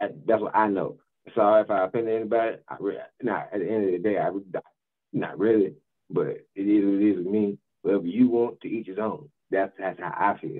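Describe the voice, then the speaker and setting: The background stays quiet. A man talks fairly quickly. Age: 30s. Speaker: podcast co-host. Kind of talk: casual chat. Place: home room.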